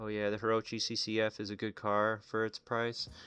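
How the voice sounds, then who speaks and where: Music plays behind a man with an American accent. His medium-pitched voice sounds dry and close, with no echo. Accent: Chicago accent, sometimes comes out. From Illinois, Chicago area. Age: 30s. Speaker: gaming streamer. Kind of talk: casual live stream chat. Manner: casual, rambling with fillers.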